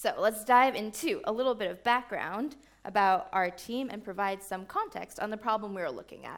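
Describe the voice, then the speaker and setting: Her voice fairly high, a woman speaks at a moderate pace with lively intonation and hardly any pauses. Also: big swings in loudness. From New York. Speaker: software engineer. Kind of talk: conference talk.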